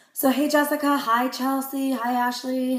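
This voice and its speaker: Over noticeable background noise and audible room echo, a woman talks at a fairly quick pace in a high pitch. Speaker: direct sales consultant. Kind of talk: live video Q&A. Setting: live stream. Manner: fast.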